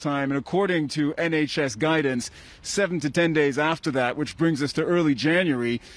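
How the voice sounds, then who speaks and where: A man with a fairly high pitch has a normal speaking voice. His pitch variation is ordinary, and his pace is fairly quick. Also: very even loudness. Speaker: news reporter. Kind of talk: live TV news report.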